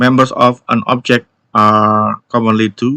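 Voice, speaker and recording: A man with an Indonesian accent speaks in a fairly low pitch and a flat monotone, with a bright, sharp tone in a dry, close sound with no echo. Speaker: YouTube tech educator. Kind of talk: tech news update video. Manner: halting with fillers.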